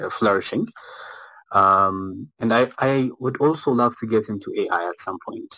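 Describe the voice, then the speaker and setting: With a bright, sharp tone, a man speaks using ordinary pitch variation. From Ethiopia, Addis Ababa. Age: 20s. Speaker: game studio founder and software engineer. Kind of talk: live audio room interview.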